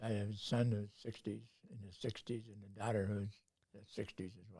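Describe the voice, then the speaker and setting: A man with a Canadian accent talks fast-ish at a fairly quick pace, his fairly low, somewhat breathy voice dark and mellow in tone, with fairly even intonation and big swings in loudness. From North Bay, Ontario, Canada. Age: 90s. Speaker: retired university professor. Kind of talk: interview answer.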